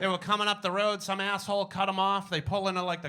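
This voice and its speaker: A man with a Boston accent speaks in a raised, projected voice at a high pitch. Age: 40s. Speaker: stand-up comedian. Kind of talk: stand-up. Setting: stage with audience.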